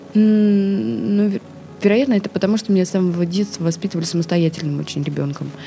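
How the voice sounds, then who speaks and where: With noticeable background noise around her, a woman of medium pitch talks at a fairly quick pace with lively intonation. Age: 30s. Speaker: actress. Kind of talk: interview. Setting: studio.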